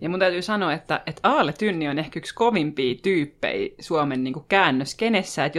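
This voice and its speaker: A woman speaks at a very deep, low pitch and a moderate pace with lively intonation. The recording is very clean, with a silent background. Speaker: podcast host. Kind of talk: casual podcast banter.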